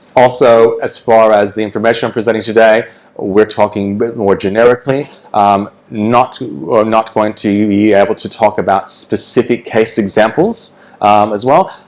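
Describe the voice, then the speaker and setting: This man's voice sits at a medium pitch. The intonation stays fairly level. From United States (born in country New South Wales, Australia). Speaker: government agency engagement officer presenting at a conference. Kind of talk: conference presentation. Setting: conference room with audience. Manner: fast.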